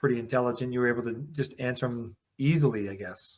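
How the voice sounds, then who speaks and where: Using a plain, everyday voice, a man with a Canadian accent talks at medium pitch and a fairly quick pace. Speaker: podcast host. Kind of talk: interview podcast.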